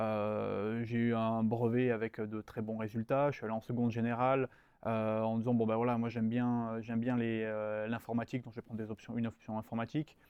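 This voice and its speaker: Speaking at a fairly quick pace, a man keeps a medium pitch in a flat monotone. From southern France, Nice area and Var. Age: 20s. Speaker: strategy consultant. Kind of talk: interview. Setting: studio. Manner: hesitant, many fillers and repetitions.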